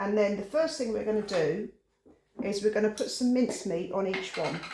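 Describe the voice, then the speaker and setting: With an English accent, a high-pitched man speaks in a relaxed tone. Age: 60s. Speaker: home cooking channel host. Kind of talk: cooking tutorial. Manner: relaxed, chatty.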